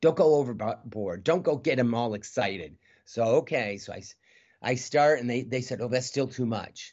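Using an animated tone, a man with an American accent talks at a moderate pace and medium pitch with ordinary pitch variation. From Michigan, US. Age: 60s. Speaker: juggler and comedian. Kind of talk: casual interview.

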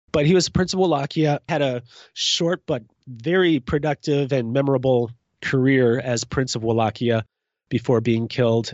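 With a plain, everyday voice, a man talks at a moderate pace and medium pitch, using ordinary pitch variation. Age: 40s. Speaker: juggler and author. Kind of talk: casual interview.

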